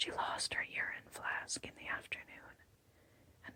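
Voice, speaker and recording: Whispering at a fairly slow pace. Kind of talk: whispered audiobook narration. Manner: whispered, soft.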